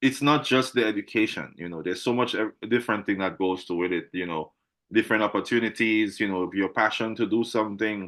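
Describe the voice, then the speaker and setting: Over a quiet background, a man with a plain, everyday voice talks at a fairly quick pace in a fairly low pitch with ordinary pitch variation. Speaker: interviewer. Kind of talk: casual interview conversation.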